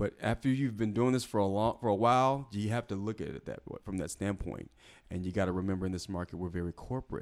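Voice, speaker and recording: A man's fairly low-pitched voice with an American accent at a very fast pace. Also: ordinary pitch variation. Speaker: actor. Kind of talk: casual chat.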